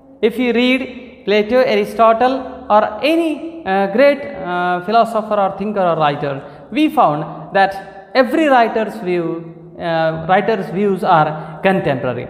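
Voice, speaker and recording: Noticeable background noise sits beneath speech that moves fairly slowly. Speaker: literature lecturer. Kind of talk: lecture to camera.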